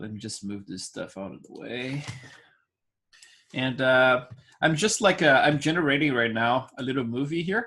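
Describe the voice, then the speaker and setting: Speaking with a Brazilian accent at a medium pitch and a moderate pace, a man uses lively intonation and a bright, sharp tone, with big swings in loudness and long, frequent pauses. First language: Portuguese. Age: 40s. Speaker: digital sculpting instructor. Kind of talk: live online class. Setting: screen-share online class. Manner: talkative, many fillers.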